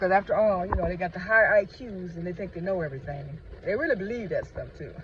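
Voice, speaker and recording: A man talks at a very fast pace with a high pitch and an animated tone. His loudness swings widely over noticeable background noise. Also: ordinary pitch variation. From United States. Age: 60s. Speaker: vlogger. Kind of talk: casual monologue. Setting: in a car.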